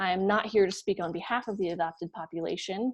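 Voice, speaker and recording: Speaking at a fairly quick pace, a woman uses an ordinary speaking voice with ordinary pitch variation. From Colorado, US. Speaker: nonprofit co-founder. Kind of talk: keynote speech.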